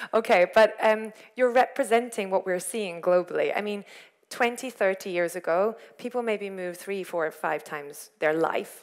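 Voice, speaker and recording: A woman with an unremarkable speaking voice talks at a medium pitch and a moderate pace, her pitch varying in an ordinary way. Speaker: corporate sustainability lead giving a talk. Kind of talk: lecture. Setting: stage with audience.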